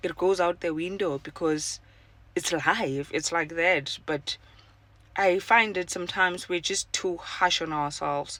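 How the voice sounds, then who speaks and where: At a fairly slow pace, a woman speaks with fairly even intonation and a fairly low pitch. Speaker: podcaster. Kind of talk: casual personal monologue. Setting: in a car. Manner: halting, many fillers.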